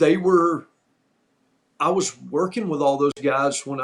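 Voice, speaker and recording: A man with a normal speaking voice, at a moderate pace, with fairly even intonation. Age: 60s. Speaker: former pro wrestler, podcast host. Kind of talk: casual storytelling chat.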